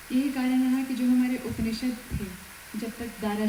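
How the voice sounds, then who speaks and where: There is noticeable background noise and audible room echo as a woman talks with a Malayalam accent. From Kerala, India. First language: Malayalam (speaking Hindi). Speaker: police superintendent. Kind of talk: formal speech at event. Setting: auditorium. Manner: formal.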